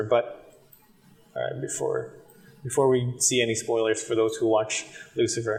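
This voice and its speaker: A man keeps a moderate pace as noticeable background noise continues behind him. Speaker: tech reviewer. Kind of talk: tutorial. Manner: hesitant, many fillers; casual.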